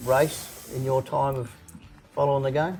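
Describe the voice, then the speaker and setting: Noticeable background noise sits behind a man's fairly high-pitched voice. He talks at a moderate pace. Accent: Australian. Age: 60s. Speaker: podcast host. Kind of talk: interview. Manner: halting.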